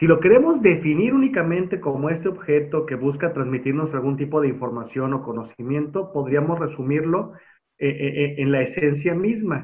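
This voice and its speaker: A man talks at a moderate pace in a normal speaking voice. His pitch is fairly high. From Mexico, Guadalajara. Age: 30s. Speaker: museum director. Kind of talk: interview.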